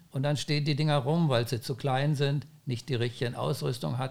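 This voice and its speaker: A man's fairly high voice with vocal fry at a moderate pace, on a very clean recording with a silent background. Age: 70s. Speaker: founder of a windsurfing school. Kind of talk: podcast interview.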